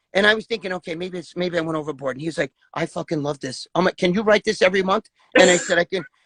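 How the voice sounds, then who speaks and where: In a New York accent, the speaker races along at a very fast pace with ordinary pitch variation, the sound dry and close with no echo. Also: man, high pitch for a man. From New York, the Bronx. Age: 60s. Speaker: former bodybuilder. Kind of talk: casual interview. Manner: animated, profane; halting, repetitive.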